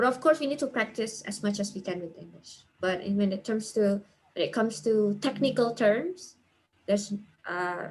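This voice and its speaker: A woman's somewhat breathy voice has lively intonation. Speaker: teacher and guest speaker. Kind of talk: webinar Q&A talk. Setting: video call webinar.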